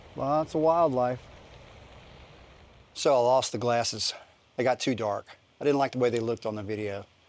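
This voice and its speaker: In a very clean recording with a silent background, a man with a Louisiana accent speaks at medium pitch and a moderate pace, with ordinary pitch variation and long, frequent pauses. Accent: Southern US (Louisiana). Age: 60s. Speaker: fitness vlogger. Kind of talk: casual vlog talk. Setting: outdoors. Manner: halting, many fillers.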